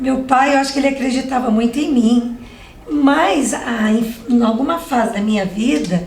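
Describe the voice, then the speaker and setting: At a moderate pace and a high pitch, a woman talks with ordinary pitch variation, with audible room echo and noticeable background noise. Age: 60s. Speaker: civil engineer. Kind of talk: interview.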